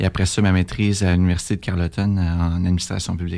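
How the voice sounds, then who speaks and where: Speaking with a Quebec accent, a man has a very deep, low pitch. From Quebec City area, Canada. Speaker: political candidate. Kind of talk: radio interview. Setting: radio studio. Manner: hesitant, many fillers.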